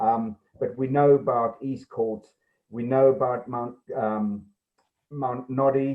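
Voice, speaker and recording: A man with a South African accent, medium pitch, monotone, flat intonation, a very slow pace and long, frequent pauses. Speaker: police sergeant. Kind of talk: report to a council committee. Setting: video call. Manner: hesitant, many ums.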